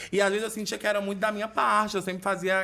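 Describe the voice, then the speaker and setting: A man's raised, projected voice has a bright, sharp, animated tone. He speaks very fast. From Fortaleza, Ceará, Brazil; Ceará, Brazil. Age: 20s. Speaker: internet personality; podcast guest. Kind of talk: casual chat. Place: studio. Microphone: studio mic.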